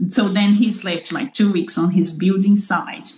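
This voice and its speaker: Somewhat breathy, a woman with a Portuguese accent speaks at a medium pitch and a moderate pace. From Brazil, São Paulo. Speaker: farmer. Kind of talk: interview. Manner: halting.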